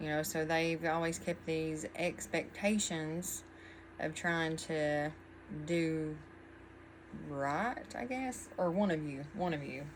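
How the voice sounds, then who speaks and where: In audible room echo, a woman with an American accent and a very deep, low pitch speaks at a very slow pace with long, frequent pauses and ordinary pitch variation. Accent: twang, often mistaken for Texan. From Virginia. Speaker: tarot reader. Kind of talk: tarot reading. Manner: casual, meandering with many fillers.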